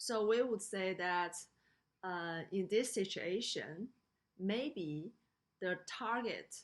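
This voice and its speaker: A woman's very slow speech in a Chinese accent, at medium pitch with ordinary pitch variation. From China. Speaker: lecturer. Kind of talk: lecture. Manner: halting, many fillers.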